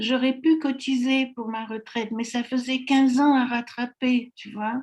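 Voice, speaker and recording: In a high pitch, a woman talks with monotone, flat intonation and big swings in loudness. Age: 80s+. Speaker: network marketing distributor. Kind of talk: interview. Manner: hesitant, many fillers.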